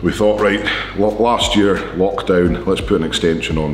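The speech moves at a moderate pace with fairly even intonation. Music plays in the background, and room echo is audible. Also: man. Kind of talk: casual vlog chat. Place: gym.

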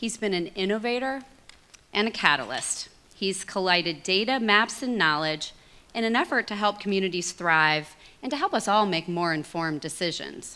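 A woman talks at a moderate pace with lively intonation. Her tone is bright and sharp. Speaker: nonprofit executive and event co-host; event co-host. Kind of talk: event hosting. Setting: stage with audience. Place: hall. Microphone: podium.

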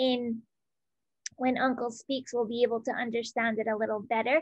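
A woman speaks against a quiet background, the sound dry with no echo. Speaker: community group organizer; event host. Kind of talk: casual chat. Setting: video call. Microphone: video call.

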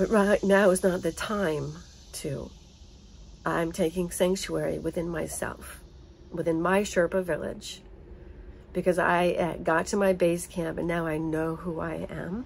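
At a fairly slow pace with long, frequent pauses, a woman speaks in an American accent over light background noise. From United States. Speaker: vlogger. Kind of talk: personal monologue. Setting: home. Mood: earnest, emotional. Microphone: phone near.

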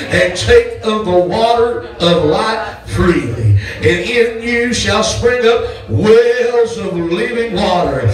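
A man talks at a very slow pace. Light background noise and audible room echo are present. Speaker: pastor. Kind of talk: sermon. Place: church. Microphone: handheld.

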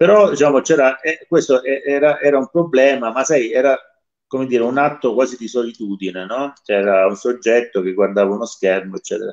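Lively intonation from a man at a fairly quick pace, with a quiet background. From Salento, southern Italy; Italy. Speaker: saxophonist and music teacher; music teacher. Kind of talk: interview. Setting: live online radio broadcast. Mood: relaxed, reflective. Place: home room. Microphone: video call.

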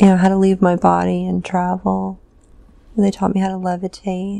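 A woman talks at a fairly slow pace in a dry sound with no echo. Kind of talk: trance narration, slow and halting. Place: home room. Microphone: lapel.

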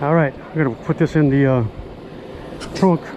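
With faint noise in the background, a man speaks at a fairly high pitch for a man, his intonation fairly even. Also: moderate pace, slightly mellow tone.

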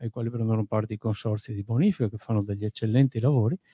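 Very fast man's speech, dry with no echo, quiet background. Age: 40s. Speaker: audience member. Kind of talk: audience question. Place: hall.

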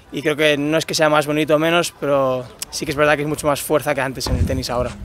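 A man speaks at a fairly high pitch in a flat monotone, recorded with a dry sound and no echo. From Spain, Málaga and Barcelona; Spain. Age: 30s. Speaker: tennis player. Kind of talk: interview. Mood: friendly, relaxed. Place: stadium. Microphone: lapel.

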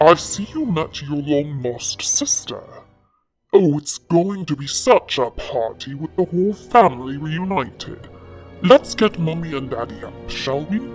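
A put-on character voice at a middle pitch moves at a moderate pace while faint music plays in the background. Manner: mocking, gloating, sly.

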